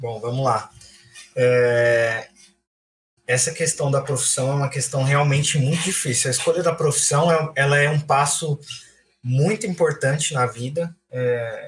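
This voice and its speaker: A man talks at a fairly high pitch. His voice is somewhat breathy and his pace fairly slow. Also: ordinary pitch variation. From Francisco Morato, São Paulo state, Brazil. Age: 20s. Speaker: architect. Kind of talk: casual chat.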